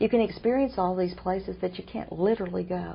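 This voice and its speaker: A woman talks at a moderate pace with a Southern US accent. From Oklahoma. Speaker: author and TV interview host. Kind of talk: interview.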